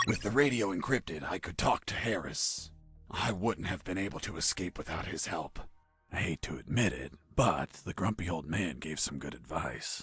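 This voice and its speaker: Faint music plays in the background as a put-on character voice speaks at a moderate pace. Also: man, very deep, low pitch for a man. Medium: video game. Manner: dry, sarcastic.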